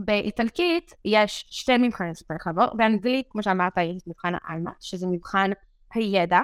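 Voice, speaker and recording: An ordinary speaking voice at a moderate pace, dry and close with no echo, on a very clean recording with a silent background. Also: woman. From Israel, Beersheba area. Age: 20s. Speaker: medical student. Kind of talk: interview.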